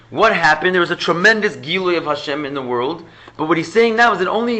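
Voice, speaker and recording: High-pitched male voice with ordinary pitch variation and audible room echo. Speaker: rabbi teaching Chassidus class. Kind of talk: lecture.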